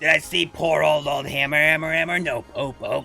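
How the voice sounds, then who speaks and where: A man uses a put-on character voice with lively intonation. He talks at a moderate pace over clear music in the background. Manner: echoing, repeating words.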